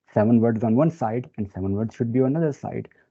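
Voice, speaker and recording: A man at a medium pitch with a non-native accent, ordinary pitch variation, and a very fast pace. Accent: non-native speaker. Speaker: data science expert presenter. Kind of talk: webinar presentation. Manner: hesitant with many fillers.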